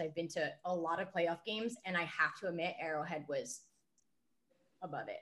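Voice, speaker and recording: Moderately paced speech from a woman with an American accent and a fairly low pitch, a plain, everyday voice. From New Jersey. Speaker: beer reviewer. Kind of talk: casual chat.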